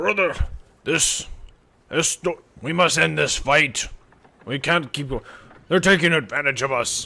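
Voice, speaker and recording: The put-on character voice is raspy and fairly slow, broken by long, frequent pauses. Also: man, fairly high pitch for a man. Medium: actual play. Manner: broken grammar, boastful.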